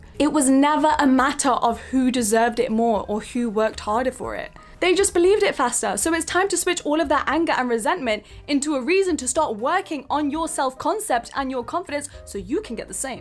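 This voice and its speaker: With music in the background, a high-pitched woman talks at a fairly quick pace with lively intonation and hardly any pauses. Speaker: self-help video creator. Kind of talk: motivational talk. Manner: emphatic.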